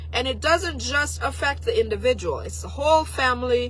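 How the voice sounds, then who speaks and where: Noticeable background noise accompanies a delivery of moderate speed. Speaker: political commentator livestreamer. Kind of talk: casual livestream commentary.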